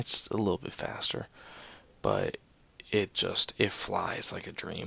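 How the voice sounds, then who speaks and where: A soft-spoken man talking at a fairly slow pace. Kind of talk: video game commentary. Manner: soft-spoken, subdued.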